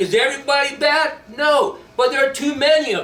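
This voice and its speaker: A man speaks in a raised, projected voice at an extremely high pitch. His moderate pace carries through audible room echo. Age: 60s. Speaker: army veteran. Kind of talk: speech at a rally. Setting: stage with audience. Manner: impassioned.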